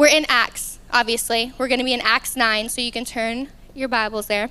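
A woman with a Southern US accent speaks in a high-pitched, bright, sharp tone with monotone, flat intonation. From Arkansas. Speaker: youth ministry speaker. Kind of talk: sermon. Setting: stage with audience.

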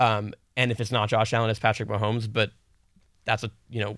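Speaking very fast with vocal fry, a man at a medium pitch comes through on a very clean recording with a silent background. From Rhode Island. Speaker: sports commentator. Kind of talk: casual sports talk.

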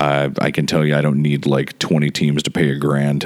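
Noticeable background noise runs under this clip. The man's voice is very deep and low. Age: 40s. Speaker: podcast host and softball tournament organizer. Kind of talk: casual solo monologue. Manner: rambling, conversational.

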